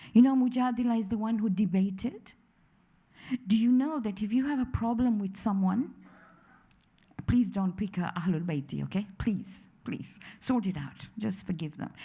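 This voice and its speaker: Her voice is somewhat breathy with a dark, mellow tone, as a woman talks at a medium pitch, a moderate pace, and ordinary pitch variation. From East Africa. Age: 60s. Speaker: religious lecturer. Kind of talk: lecture. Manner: animated.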